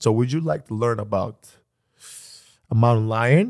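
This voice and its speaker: In a very clean recording with a silent background, a man speaks with a Greek accent. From Greece. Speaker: podcast host. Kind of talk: casual chat. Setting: studio. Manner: animated.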